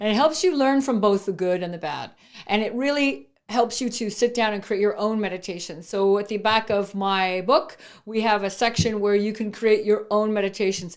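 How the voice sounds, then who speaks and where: A woman with a Canadian accent and a normal speaking voice, fairly high in pitch with ordinary pitch variation, at a moderate pace, on a very clean recording with a silent background. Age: 50s. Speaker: entrepreneur. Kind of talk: interview.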